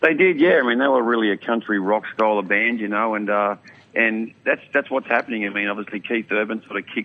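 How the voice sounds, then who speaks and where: A man with an Australian accent talks at a very fast pace and a fairly low pitch, with noticeable background noise behind him. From Australia, mid-north coast New South Wales. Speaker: country singer. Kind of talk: radio interview. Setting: outdoors. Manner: casual.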